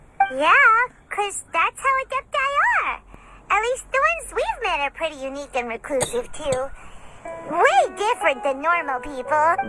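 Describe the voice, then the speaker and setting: This put-on character voice has an extremely high pitch and very wide pitch swings at a moderate pace. Faint music plays in the background. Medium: machinima. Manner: chatty, upbeat.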